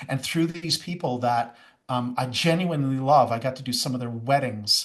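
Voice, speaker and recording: In an enthusiastic tone, a man with a medium pitch talks at a moderate pace. His voice is somewhat breathy. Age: 60s. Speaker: youth and young adult ministry pastor. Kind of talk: podcast interview.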